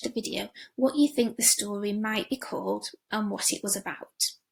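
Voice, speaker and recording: Here is an ordinary speaking voice. Pitch varies in an ordinary way. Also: woman. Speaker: language teacher. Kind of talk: lesson for pupils.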